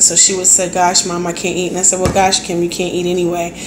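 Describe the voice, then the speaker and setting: A woman talks at a medium pitch amid noticeable background noise and audible room echo. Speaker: health vlogger. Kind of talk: casual talk to camera.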